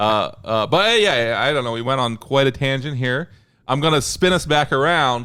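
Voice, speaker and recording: Loud and bright with a sharp edge, a man speaks at a medium pitch with lively intonation. The recording is very clean, with a silent background. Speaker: podcast co-host of a flight controller firmware team. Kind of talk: casual chat.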